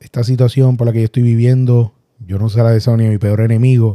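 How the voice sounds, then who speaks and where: A man with a Puerto Rican accent talks fairly quickly at a medium pitch, in a dark, mellow tone. His intonation is monotone and flat, and the sound is dry and close with no echo. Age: 40s. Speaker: accident survivor podcaster. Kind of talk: personal storytelling monologue. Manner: halting.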